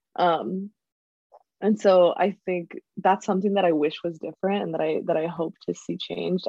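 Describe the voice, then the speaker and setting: This woman has an ordinary speaking voice with fairly low pitch. Her intonation stays fairly even. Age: 20s. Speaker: university student and youth organizer. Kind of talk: interview monologue.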